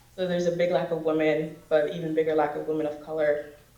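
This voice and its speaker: Over noticeable background noise and audible room echo, the speaker moves at a fairly quick pace with monotone, flat intonation. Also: woman. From Dominican Republic, then US. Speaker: university student, immigrant panelist. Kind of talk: personal testimony on a panel. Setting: auditorium panel with audience.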